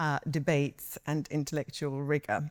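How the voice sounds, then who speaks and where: A woman's very deep, low voice at a moderate pace. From England, London (arrived from Bosnia as a young child). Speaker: barrister. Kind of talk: panel talk. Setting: event hall with audience. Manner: hesitant, many fillers.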